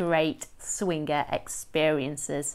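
Here a woman is talking. Her pace is fairly slow. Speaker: lifestyle coach. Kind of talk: casual vlog chat. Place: home room. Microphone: phone near.

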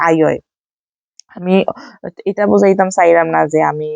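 Recorded dry and close with no echo, a woman is talking. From Sylhet, Bangladesh. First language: Sylheti (speaking Bengali). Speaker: vlogger. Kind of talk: casual vlog narration. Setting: at home with friends and children.

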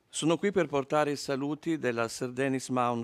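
A man's ordinary speaking voice, medium in pitch and moderate in pace, on a very clean recording with a silent background. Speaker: foundation representative, art historian. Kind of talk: prepared speech. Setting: stage with audience.

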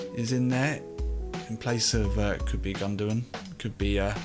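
A man talks at a moderate pace while clear music sounds behind him. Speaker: game streamer. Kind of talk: gaming commentary. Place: home room.

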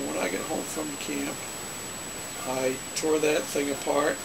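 Moderate pace against noticeable background noise. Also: man. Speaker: hobbyist storyteller. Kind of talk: casual vlog chat. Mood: relaxed, nostalgic. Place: home room. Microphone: webcam.

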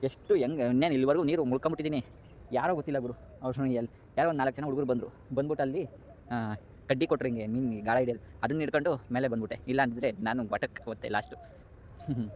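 This man has a normal speaking voice. His pitch sits at a medium level and shows ordinary variation. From Bengaluru outskirts, Karnataka. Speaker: vlogger. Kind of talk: walking vlog narration. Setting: outdoors, walking. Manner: casual, chatty.

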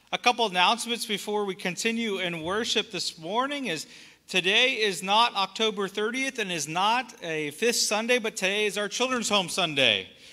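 A man uses a raised, projected voice at a moderate pace with ordinary pitch variation. There are hardly any pauses, and the background is quiet. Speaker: pastor. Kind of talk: church announcements. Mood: warm and upbeat. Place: church.

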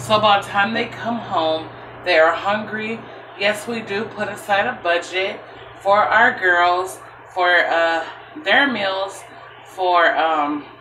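With audible room echo and light background noise, a woman speaks at a very slow pace with ordinary pitch variation. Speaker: home cook vlogger. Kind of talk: casual vlog chat. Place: kitchen. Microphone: phone near.

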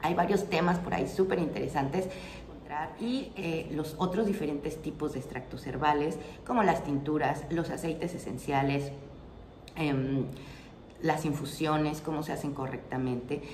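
A woman with a very deep, low voice speaks at a moderate pace, using ordinary pitch variation and long, frequent pauses. The room echo is audible, and there is light background noise. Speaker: herbal remedies channel host. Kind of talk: casual explanatory vlog talk. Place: home room.

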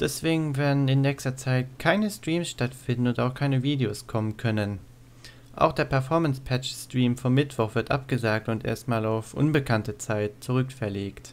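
At a moderate pace, a man speaks at medium pitch on a very clean recording with a silent background. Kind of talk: casual info announcement to viewers. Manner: monotone.

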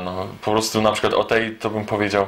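A man at a very fast pace. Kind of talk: casual vlog chat.

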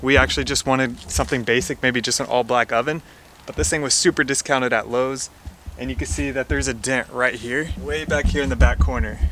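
Dry with no echo, a man's voice races along at a very fast pace over light background noise. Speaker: house flipper vlogger. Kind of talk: casual vlog chat. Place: garage. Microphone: phone near.

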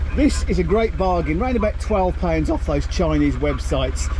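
Background noise is noticeable as the words come at a fairly brisk pace. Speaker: solo sailor vlogger. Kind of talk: tutorial. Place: boat. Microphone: phone near.

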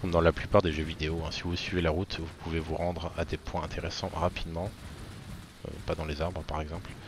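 A man with a very deep, low voice speaks at a fairly quick clip. His delivery is somewhat breathy and monotone, with flat intonation. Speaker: gaming youtuber. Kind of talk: gameplay tutorial voiceover, casual. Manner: casual, chatty, fillers.

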